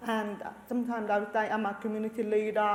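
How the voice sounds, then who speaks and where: A woman speaks at a fairly high pitch, with audible room echo. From Australia, Lebanese family. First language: Arabic. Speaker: researcher, community leader. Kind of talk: panel discussion.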